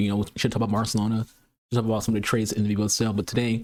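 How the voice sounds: A man speaks with an American accent. His pitch sits fairly low.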